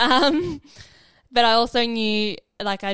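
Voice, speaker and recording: In a very clean recording with a silent background, a woman talks with an Australian accent. Her intonation is fairly even, and the sound is dry and close with no echo. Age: 20s. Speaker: nurse. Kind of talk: interview testimony.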